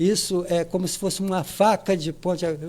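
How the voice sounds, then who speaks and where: The man's voice is high-pitched, with a dark, mellow tone. He speaks at a moderate pace with monotone, flat intonation. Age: 60s. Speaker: cultural project organizer. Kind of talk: podcast interview. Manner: halting, many repetitions.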